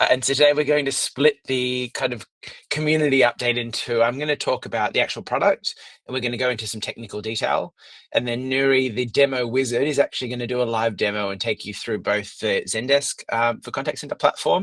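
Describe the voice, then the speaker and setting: Very fast speech in an Australian accent shows ordinary pitch variation, with a dry, close sound and no echo. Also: man, medium pitch for a man. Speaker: product lead presenting a software product. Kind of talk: webinar presentation. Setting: office, online webinar.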